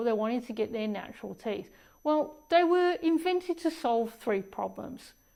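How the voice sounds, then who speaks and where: In an Australian accent, a woman with a high pitch and a dark, mellow tone talks at a moderate pace with lively intonation on a very clean recording with a silent background. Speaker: dentist. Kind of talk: casual talk to camera about health.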